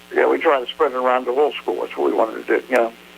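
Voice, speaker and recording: Noticeable background noise sits behind speech delivered in an American accent. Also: man. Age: 70s. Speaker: hall of fame president. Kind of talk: phone interview. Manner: halting.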